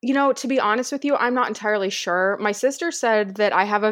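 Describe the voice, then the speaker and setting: A woman with an American accent has an ordinary speaking voice and lively intonation. She goes at a moderate pace over a quiet background. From US Midwest. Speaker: hiking movement founder and former skydiver. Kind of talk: casual interview.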